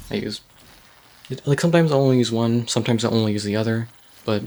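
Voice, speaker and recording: Very fast talk from a man, with noticeable noise behind him. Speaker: gaming video creator. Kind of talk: gameplay tutorial. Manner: soft-spoken; hesitant, many ums. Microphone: poor recording quality.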